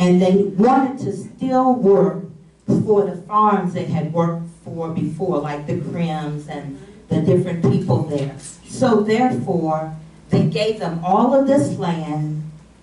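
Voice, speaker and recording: A woman with an American accent, fairly low pitch and lively intonation at a very slow pace, amid light background noise and audible room echo. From West Virginia. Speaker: panelist. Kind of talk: panel discussion, personal recollection. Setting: stage with audience, microphone. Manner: humorous, lively. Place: meeting room.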